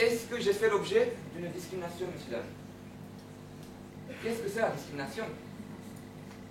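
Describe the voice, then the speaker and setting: Noticeable background noise and audible room echo fill the recording. Through it, a man talks at a moderate pace. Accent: Romanian. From Romania, Bucharest. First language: Romanian (speaking French). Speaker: law student. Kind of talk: speech contest talk.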